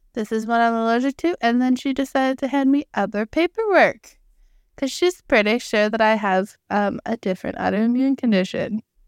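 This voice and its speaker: A woman uses an ordinary speaking voice with a fairly high pitch and ordinary pitch variation. The recording is very clean with a silent background, giving a dry, close sound with no echo. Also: moderate pace. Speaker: podcast co-host. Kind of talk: casual chat.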